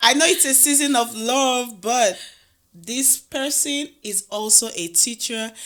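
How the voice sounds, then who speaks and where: A woman's high-pitched voice with a Nigerian accent, fairly slow pace and ordinary pitch variation, in a very clean recording with a silent background. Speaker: podcast host. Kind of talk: casual interview chat.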